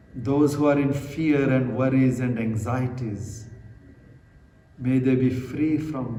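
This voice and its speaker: A man's medium-pitched, calm voice at a very slow pace, with noticeable background noise. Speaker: Buddhist monk, meditation guide. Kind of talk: guided meditation. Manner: slow, calm.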